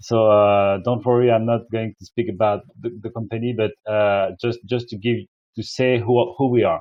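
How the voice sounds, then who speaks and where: The speaker uses fairly even intonation in a French accent. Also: man, medium pitch for a man, moderate pace. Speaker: energy company representative. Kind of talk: webinar presentation. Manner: halting.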